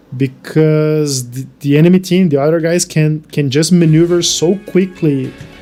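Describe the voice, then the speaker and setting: A dark, mellow tone carries a Brazilian Portuguese accent. The intonation stays fairly even at a moderate pace. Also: man. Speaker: gaming streamer. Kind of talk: live stream chat. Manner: halting, frequent restarts.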